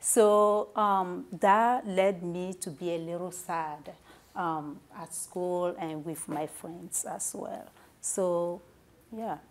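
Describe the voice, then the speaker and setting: A woman speaks at a very slow pace with fairly low pitch. Her intonation is fairly even, though her loudness swings widely. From Togo, West Africa. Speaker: author. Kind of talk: interview. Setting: studio. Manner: hesitant, many fillers.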